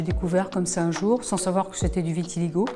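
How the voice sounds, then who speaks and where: A woman talks at a very fast pace. Noticeable background noise runs under her voice. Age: 60s. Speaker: patient giving testimony. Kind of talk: testimony. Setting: event, recorded at a public awareness day. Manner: hesitant, many fillers.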